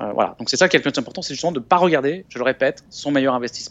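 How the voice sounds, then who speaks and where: With a fairly high pitch, this man's voice shows ordinary pitch variation. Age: 40s. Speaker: investment author and business school lecturer. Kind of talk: interview. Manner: calm; halting, frequent repetitions.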